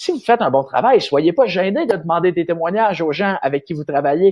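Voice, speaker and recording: With a Quebec accent, a man speaks at a high pitch and makes very wide pitch swings. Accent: Québécois French. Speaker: marketing consultant. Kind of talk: vlog-style business advice talk. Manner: fast; animated, hesitant with many fillers.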